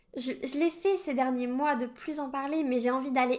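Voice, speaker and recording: A woman speaks at a high pitch. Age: 20s. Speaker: podcast host. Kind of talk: solo personal monologue.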